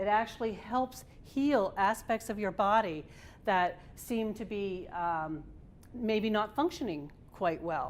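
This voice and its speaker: Her voice sits fairly high, with ordinary pitch variation. The woman is heard on a very clean recording with a silent background. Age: 60s. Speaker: tai chi instructor. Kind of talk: presentation. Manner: halting.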